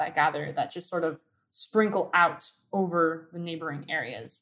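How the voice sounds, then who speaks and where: An unremarkable speaking voice with an American accent. The pace is moderate and the intonation fairly even. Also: woman. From Southern California (Downey, LA County). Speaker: community activist. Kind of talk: interview.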